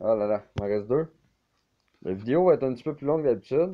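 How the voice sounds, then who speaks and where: A man talks with a Quebec accent at a medium pitch. His intonation is lively. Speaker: video game YouTuber. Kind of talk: gameplay commentary. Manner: casual, hesitant with fillers.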